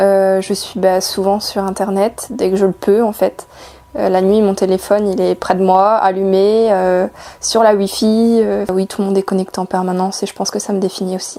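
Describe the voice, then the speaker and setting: This woman's voice has a dark, mellow tone. Her intonation is flat and monotone. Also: medium pitch for a woman, moderate pace. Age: 20s. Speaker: student. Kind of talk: interview. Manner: hesitant, many fillers.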